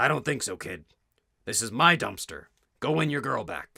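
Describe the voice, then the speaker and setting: A man puts on a raspy character voice, pitched fairly high. His intonation is lively and his pace moderate. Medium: solo performance.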